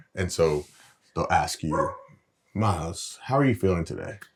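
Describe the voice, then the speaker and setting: In a very clean recording with a silent background, a man with a very deep, low pitch talks at a moderate pace with ordinary pitch variation. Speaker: reality TV cast member and course co-host. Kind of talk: instructional casual chat. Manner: even, little pitch variation; louder when excited.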